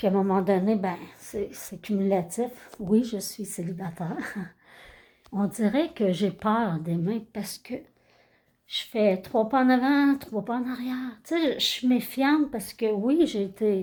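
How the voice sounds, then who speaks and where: A woman's fairly high, dark and mellow voice in a Quebec accent, somewhat breathy, with lively intonation, a fairly slow pace and long, frequent pauses, on a very clean recording over a silent background. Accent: Québécois French. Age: 60s. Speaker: karaoke YouTuber. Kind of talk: casual vlog monologue. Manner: spontaneous, unscripted, hesitant.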